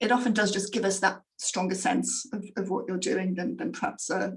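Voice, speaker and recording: A fairly quick pace in an English accent. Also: woman. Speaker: grant funder presenter. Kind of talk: online presentation. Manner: fast; hesitant, many fillers.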